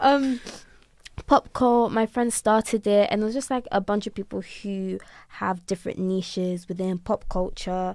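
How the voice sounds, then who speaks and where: In an unremarkable speaking voice, a woman of medium pitch talks with ordinary pitch variation, the sound dry and close with no echo on a very clean recording with a silent background. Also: moderate pace. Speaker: university student, society secretary. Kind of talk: casual podcast chat. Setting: informal two-person podcast recording.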